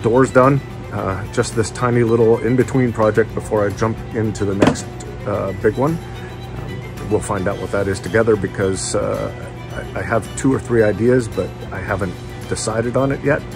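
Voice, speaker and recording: Over clear background music, a man speaks at a fairly low pitch and moderate pace with fairly even intonation. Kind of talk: casual vlog chat. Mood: warm, relaxed. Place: garage. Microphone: phone near.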